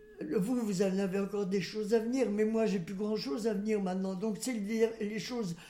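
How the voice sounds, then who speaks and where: A woman speaks in a fairly high voice with a dark, mellow tone. Some room echo can be heard. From western France, Loire-Atlantique. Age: 90s. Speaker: great-grandmother interviewee. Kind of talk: life-story interview. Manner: halting.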